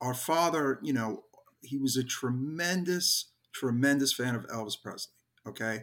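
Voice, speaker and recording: With an American accent, the bright, sharp voice moves at a fairly slow pace with ordinary pitch variation. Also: man. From New York, Brooklyn. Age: 50s. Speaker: hardcore band musician. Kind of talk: casual interview chat.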